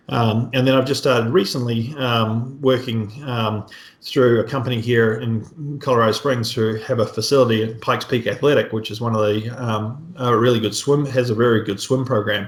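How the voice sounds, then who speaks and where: Somewhat breathy, a man at a medium pitch speaks at a moderate pace with fairly even intonation and hardly any pauses. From New Zealand. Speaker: triathlon coach. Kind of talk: podcast interview.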